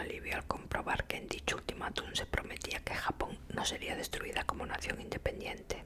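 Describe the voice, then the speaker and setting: A woman whispers at a moderate pace. Noticeable background noise is audible behind her. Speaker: ASMR creator. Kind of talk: ASMR book reading, whispered. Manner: whispered, soft-spoken.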